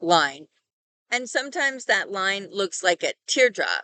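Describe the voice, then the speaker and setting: A woman with a Californian accent speaks with lively intonation and a bright, sharp tone at medium pitch. The sound is dry and close with no echo, over a quiet background. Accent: Californian American. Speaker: language teacher. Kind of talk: tutorial.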